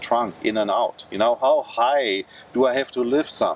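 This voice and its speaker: A man with a German accent at a moderate pace. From Germany. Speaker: car reviewer. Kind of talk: casual vlog talk to camera.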